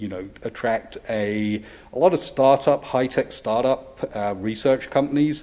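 Speaking with an English accent, a man keeps a fairly slow pace and fairly even intonation. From England. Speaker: university real estate director presenting to a zoning board. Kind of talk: public hearing presentation. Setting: public meeting room at a podium. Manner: loud; hesitant, many fillers.

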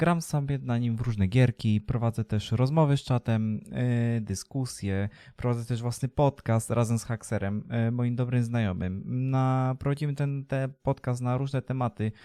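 Dark and mellow in tone, a man's voice sits at medium pitch with ordinary pitch variation and a moderate pace. The recording is very clean with a silent background, the sound dry and close with no echo. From Poland, Leszno, Greater Poland. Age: 20s. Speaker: streamer and vlogger. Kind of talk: casual vlog to camera. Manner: halting, many fillers.

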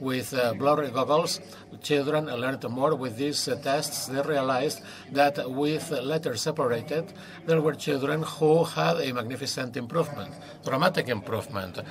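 Noticeable background noise runs under the recording. Over it, a man's speech proceeds at a moderate speed. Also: ordinary pitch variation. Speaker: conference presenter. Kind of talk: lecture. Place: stage. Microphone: headset.

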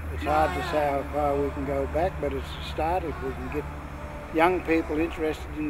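Noticeable background noise around a man's voice, the sound dry and without echo. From New South Wales, Australia. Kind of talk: interview answer. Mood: earnest, serious. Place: open country.

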